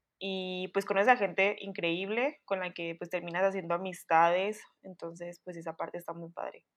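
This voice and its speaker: This is a woman with an unremarkable speaking voice and medium pitch. She goes at a moderate pace, with big swings in loudness. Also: fairly even intonation. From Chihuahua, Mexico. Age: 20s. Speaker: communications student. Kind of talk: casual chat.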